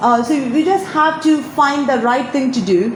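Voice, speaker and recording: Through noticeable background noise and audible room echo, a woman speaks at a high pitch with lively intonation. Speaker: alumna sharing career advice. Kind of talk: interview advice talk.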